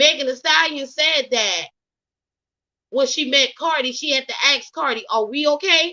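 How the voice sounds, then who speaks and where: Against a quiet background, a woman with an American accent projects a raised, bright, sharp voice at a high pitch, fairly slowly and with lively intonation. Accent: Southern Geechee. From US South, Geechee (Gullah) region. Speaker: gossip commentary YouTuber. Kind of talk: casual commentary monologue.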